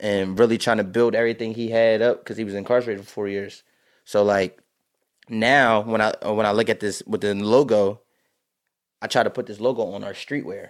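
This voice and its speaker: A man with an American accent talks at a fairly quick pace and medium pitch on a very clean recording with a silent background. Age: 20s. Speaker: high school football head coach. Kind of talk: casual interview. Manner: animated.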